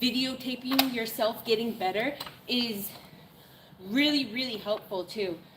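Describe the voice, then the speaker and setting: With an American accent, a woman speaks at a fairly slow pace with long, frequent pauses and a fairly high pitch of ordinary variation, amid audible room echo and noticeable background noise. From Maine, US. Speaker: fitness livestreamer. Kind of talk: casual live-stream chat while working out. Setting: gym.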